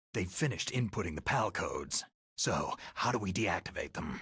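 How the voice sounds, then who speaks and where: Growling in a put-on character voice, a man talks fairly quickly at a medium pitch. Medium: video game. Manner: terse, gravelly.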